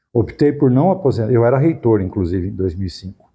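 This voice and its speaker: Somewhat breathy, a man speaks at medium pitch in a dark, mellow tone against a quiet background. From Brazil, Araraquara, São Paulo state. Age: 70s. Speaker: university professor, former rector. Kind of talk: interview.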